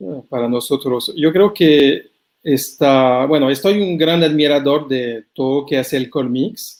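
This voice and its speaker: With a French accent, a man speaks fairly slowly in a fairly high voice with ordinary pitch variation. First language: French (speaking Spanish). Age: 40s. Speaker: anthropologist. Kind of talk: interview. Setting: video call from his room. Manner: halting, repeating words.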